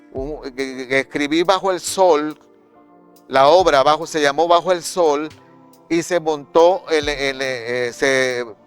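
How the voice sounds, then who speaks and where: Music plays in the background as a man with a fairly high voice speaks. He goes very slowly, with fairly even intonation. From Maracaibo, Venezuela. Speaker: actor, director and playwright. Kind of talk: interview answer.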